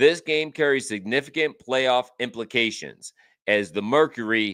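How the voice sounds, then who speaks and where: In a very clean recording with a silent background, a man with a medium pitch and a bright, sharp tone speaks fairly slowly with ordinary pitch variation. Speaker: sports betting show host. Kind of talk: live stream sports picks. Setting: live stream. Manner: casual, reading notes aloud.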